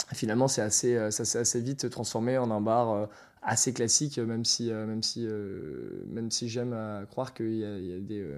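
In a very clean recording with a silent background, a man at medium pitch speaks at a moderate pace with fairly even intonation. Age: 20s. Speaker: bar manager. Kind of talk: interview. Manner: halting.

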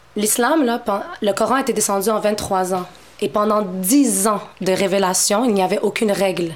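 Amid noticeable background noise, a woman at medium pitch speaks with very even loudness and ordinary pitch variation. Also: moderate pace. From Montreal, Quebec (Moroccan family). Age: 30s. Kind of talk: casual interview conversation.

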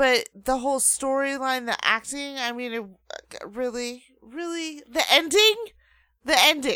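In a very clean recording with a silent background, a woman with a high, bright, sharp voice projects it loudly, moving slowly with lively intonation and big swings in loudness. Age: 30s. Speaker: co-host's girlfriend. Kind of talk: casual chat. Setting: studio.

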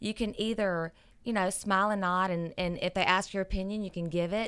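At a moderate pace, a woman with an ordinary speaking voice talks at a medium pitch with ordinary pitch variation, recorded very cleanly against a silent background. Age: 40s. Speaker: radio show regular, parenting commentator. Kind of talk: casual chat, advice talk.

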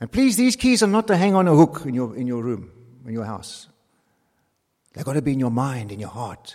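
A man talks at a fairly quick pace with long, frequent pauses. His fairly high voice swings very widely in pitch and shows big swings in loudness. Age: 70s. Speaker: pastor. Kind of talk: sermon.

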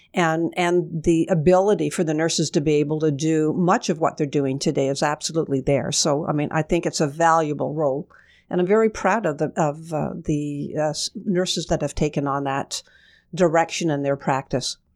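A woman with a Canadian accent speaks in a very deep, low pitch at a moderate pace. Her pitch varies in an ordinary way, and the recording is very clean with a silent background. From Kingston, Ontario, Canada. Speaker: retired hospital executive and nurse. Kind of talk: radio interview. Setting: radio studio.

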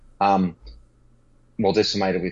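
Talking at a fairly quick pace, a man with an Australian accent has a very deep, low voice. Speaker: fantasy football podcast co-host. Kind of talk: casual chat. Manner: animated.

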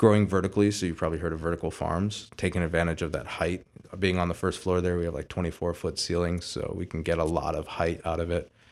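With a Midwestern American accent, the speaker uses monotone, flat intonation on a very clean recording with a silent background. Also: man. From Toledo area, Ohio (Sylvania). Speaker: restaurant owner. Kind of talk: casual interview.

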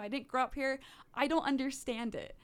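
The recording is very clean, with a silent background. A woman speaks at a fairly quick pace in monotone, flat intonation. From Netherlands. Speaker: youth gun-safety activist. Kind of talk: radio interview. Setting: radio studio.

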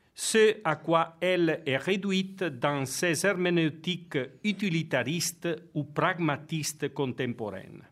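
Ordinary pitch variation runs through speech delivered very slowly. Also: man, high pitch for a man. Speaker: theology professor and priest. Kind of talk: lecture.

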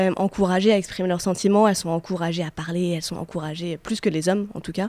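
A woman with a dark, mellow tone speaks at a very fast pace. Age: 30s. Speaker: radio co-host. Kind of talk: casual chat. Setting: studio.

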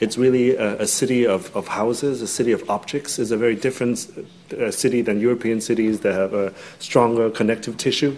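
This man has a medium pitch and fairly even intonation. He talks at a fairly quick pace over noticeable background noise. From Hong Kong. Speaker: architect. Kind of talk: lecture. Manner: halting, many fillers.

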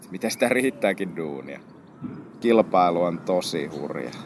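This man's voice is very deep and low in pitch. He keeps a moderate pace. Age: 20s. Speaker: photographer. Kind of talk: interview. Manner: casual.

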